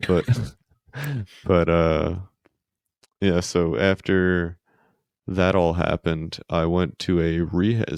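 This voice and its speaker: A soft-spoken man with an American accent, a very deep, low pitch, and fairly even intonation. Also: dry, close sound with no echo. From Queens, New York. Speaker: podcast guest, spinal injury survivor. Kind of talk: casual chat. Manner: monotone.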